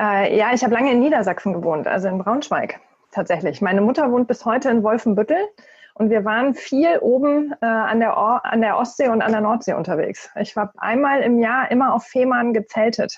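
A woman has an unremarkable speaking voice, fairly high in pitch, at a moderate pace. Her intonation is lively and her loudness very even. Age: 40s. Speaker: corporate networking and new work expert. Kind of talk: podcast interview.

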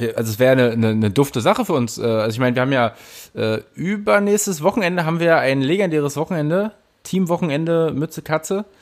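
Talking very fast, a man at a fairly high pitch makes very wide pitch swings. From Berlin. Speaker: podcast co-host. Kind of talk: casual chat.

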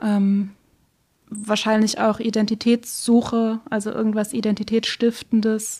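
At a fairly slow pace, a woman speaks in a fairly high, somewhat breathy voice with a dark, mellow tone and monotone, flat intonation. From Schleswig-Holstein, Baltic coast, Germany. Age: 20s. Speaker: editor and book blogger. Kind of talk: casual interview. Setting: in-person studio room.

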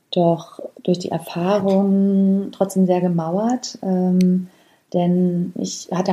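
A woman's somewhat breathy voice with a dark, mellow tone, medium pitch and a flat monotone intonation. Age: 30s. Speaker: podcast host. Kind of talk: personal storytelling monologue. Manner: hesitant with frequent fillers.

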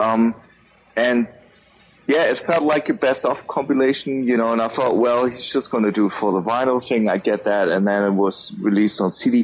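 The speech moves at a moderate pace with very even loudness and ordinary pitch variation. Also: man, medium pitch for a man. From Germany. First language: German. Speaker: music podcaster. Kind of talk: casual chat.

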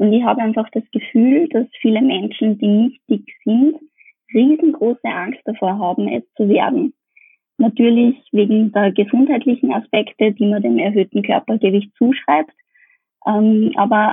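A woman with an Austrian accent speaks fairly high at a fairly slow pace. Her pitch variation is ordinary. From Upper Austria. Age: 20s. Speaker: dietitian. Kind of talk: interview.

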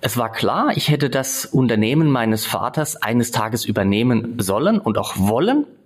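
With noticeable background noise, a man talks with hardly any pauses. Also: medium pitch for a man, ordinary pitch variation, moderate pace, very even loudness. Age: 40s. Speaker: entrepreneur. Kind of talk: interview. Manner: hesitant fillers.

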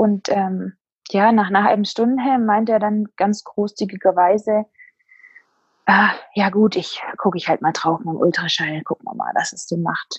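A woman speaks at a moderate pace with a medium pitch and a somewhat breathy quality. Her intonation stays fairly even, and the sound is dry and close with no echo. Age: 20s. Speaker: bereaved mother. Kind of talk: personal testimony interview.

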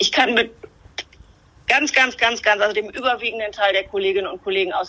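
Bright and sharp in tone, a woman's fairly high voice has lively intonation. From northern Germany, Bremen-Nord. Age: 50s. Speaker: politician. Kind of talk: interview. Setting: remote connection.

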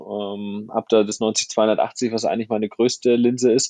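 Flat, monotone delivery from a male speaker at a medium pitch. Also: dry, close sound with no echo. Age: 30s. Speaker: photographer and filmmaker. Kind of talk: casual interview.

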